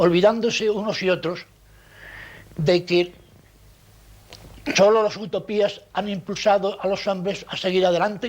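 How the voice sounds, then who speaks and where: A high-pitched man at a fairly slow pace, in a flat monotone with long, frequent pauses. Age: 70s. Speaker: journalist and anarchist veteran. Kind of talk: testimony. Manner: halting.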